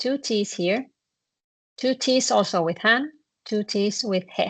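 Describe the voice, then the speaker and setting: With a Finnish accent, a woman speaks at a very slow pace in a fairly high pitch, her intonation lively. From northern Finland. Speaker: Finnish language teacher. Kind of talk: online language lesson.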